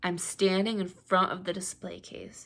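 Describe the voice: Someone reads a text aloud plainly.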